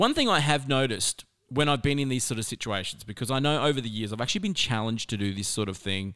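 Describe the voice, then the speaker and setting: Speaking at a very fast pace, a man with an Australian accent uses lively intonation. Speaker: motivational speaker. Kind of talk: podcast monologue. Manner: animated.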